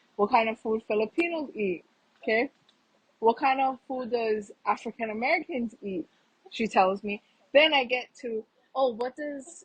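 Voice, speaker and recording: A woman's loud, animated, high-pitched voice at a moderate pace, with ordinary pitch variation, long and frequent pauses, and a dry, close sound with no echo. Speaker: podcast guest. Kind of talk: casual chat.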